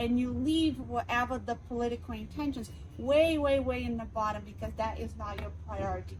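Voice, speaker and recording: Noticeable background noise runs under a woman with a Portuguese accent. She speaks at a moderate pace. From Brazil. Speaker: city councilor and candidate. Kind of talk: interview.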